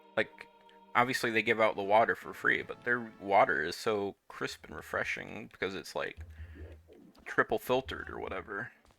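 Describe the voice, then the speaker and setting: A man at a medium pitch and moderate pace, with ordinary pitch variation, big swings in loudness, and music in the background. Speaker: video game streamer. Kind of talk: casual live gameplay commentary. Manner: casual, rambling.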